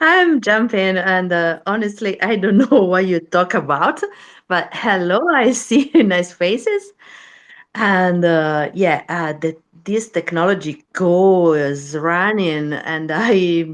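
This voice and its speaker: In a non-native accent, a woman speaks very slowly at medium pitch with ordinary pitch variation against a quiet background. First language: not English. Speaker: listener joining the chat. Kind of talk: casual chat. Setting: online audio room. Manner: halting.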